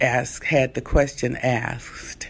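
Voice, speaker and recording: A woman with a very deep, low pitch and vocal fry speaks at a very slow pace. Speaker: evangelist and civil rights activist. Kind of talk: commentary to camera on a political debate.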